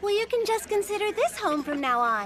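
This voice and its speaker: A put-on character voice, squeaky and extremely high in pitch, moves at a fairly quick pace with an upbeat tone. Background noise is clearly audible. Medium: cartoon. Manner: friendly, upbeat.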